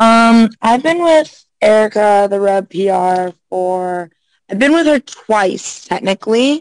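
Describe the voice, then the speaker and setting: A woman with an American accent speaks at a very slow pace in a fairly high voice. Her intonation is lively, and the sound is dry and close with no echo. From US South, Florida (Orlando area). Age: 20s. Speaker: adult film performer. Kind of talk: casual chat. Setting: video call.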